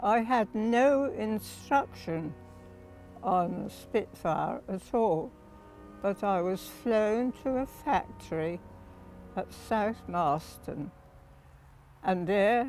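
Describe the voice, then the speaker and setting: A woman at medium pitch, very slow, with very wide pitch swings, long, frequent pauses and music in the background. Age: 80s+. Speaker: war veteran, wartime ferry pilot. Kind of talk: interview answer.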